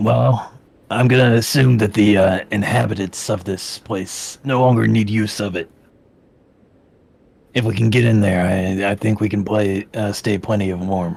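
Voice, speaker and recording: In a put-on character voice, a man speaks raspy and fairly low at a moderate pace. He leaves long, frequent pauses. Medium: actual play. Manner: dry, offhand.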